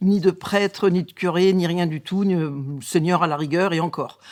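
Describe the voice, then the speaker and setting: On a very clean recording with a silent background, a woman talks at a fairly slow pace, her fairly low pitch showing ordinary variation. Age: 60s. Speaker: nurse giving faith testimony. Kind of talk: testimony. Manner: halting, many hesitations.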